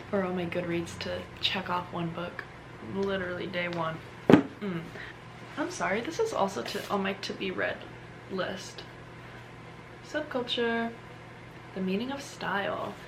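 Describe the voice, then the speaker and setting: Someone whispers at a fairly slow pace with long, frequent pauses. There is audible room echo and noticeable background noise. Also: woman. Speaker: lifestyle vlogger. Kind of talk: casual vlog talk. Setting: at home. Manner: whispering; animated.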